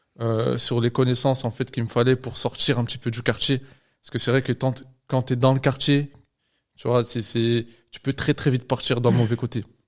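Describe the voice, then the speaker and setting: On a very clean recording with a silent background, a man speaks at medium pitch and a moderate pace in a monotone, flat intonation. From France, Lyon. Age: 20s. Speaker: medical student and trader. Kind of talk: podcast interview. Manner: hesitant, many fillers.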